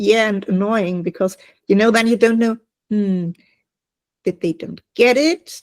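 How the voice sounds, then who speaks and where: Speaking with a German accent, a woman goes at a fairly slow pace with long, frequent pauses and ordinary pitch variation, the sound dry and close with no echo. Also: fairly high pitch for a woman. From Germany. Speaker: online business owner. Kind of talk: casual group video call chat.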